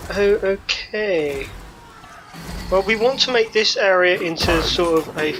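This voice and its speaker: A woman talks at a very slow pace while noticeable background noise plays beneath. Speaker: gaming YouTuber. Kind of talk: let's play commentary. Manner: casual, thinking aloud with fillers.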